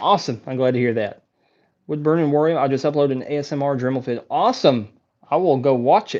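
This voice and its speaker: The speech comes at a very fast pace with an American accent. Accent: thick country. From Texas. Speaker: wood carving YouTuber. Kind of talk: live stream Q&A. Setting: live stream on laptop and phone. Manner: animated.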